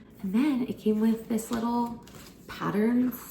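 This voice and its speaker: A woman talks at a fairly slow pace, with audible room echo and noticeable background noise. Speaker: lifestyle vlogger. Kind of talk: casual vlog talk to camera. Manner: soft-spoken; chatty, filler-heavy. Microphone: may be too quiet.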